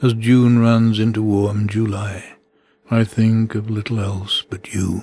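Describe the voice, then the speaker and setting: A man talks very slowly in a fairly low, somewhat breathy voice. His tone is dark and mellow, his intonation monotone and flat. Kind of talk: poetry reading.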